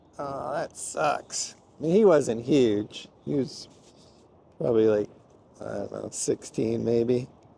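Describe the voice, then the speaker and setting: Speaking very slowly with long, frequent pauses, a man swings widely in loudness. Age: 60s. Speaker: angler and fishing vlogger. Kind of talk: casual vlog commentary. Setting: outdoors on a boat. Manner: animated.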